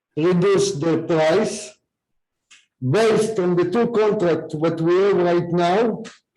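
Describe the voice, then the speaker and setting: With audible room echo, a man speaks at a high pitch and a very slow pace. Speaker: HOA board member. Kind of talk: board meeting. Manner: very loud.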